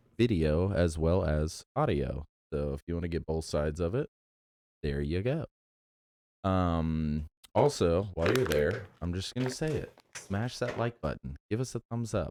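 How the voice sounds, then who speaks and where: Quiet and dark, mellow in tone, a man speaks with a very deep, low pitch and lively intonation at a moderate pace, the sound dry and close with no echo. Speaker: movie podcast co-host. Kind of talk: casual chat. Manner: kept low, quiet voice.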